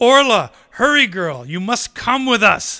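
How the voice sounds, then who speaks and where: A man does a put-on character voice at an extremely high pitch, raised and projected. He speaks at a fairly slow pace with lively intonation. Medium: read story.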